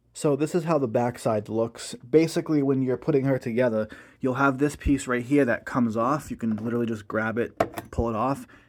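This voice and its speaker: On a very clean recording with a silent background, a man in a plain, everyday voice talks fairly quickly at a medium pitch with ordinary pitch variation. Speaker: Halloween prop reviewer. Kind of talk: casual product review talk to camera.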